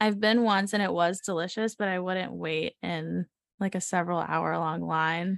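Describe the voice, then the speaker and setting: Woman with an American accent, a normal speaking voice, fairly low pitch, fairly even intonation and a moderate pace, recorded dry and close with no echo against a quiet background. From US South, Savannah, Georgia. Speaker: designer. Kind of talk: casual chat.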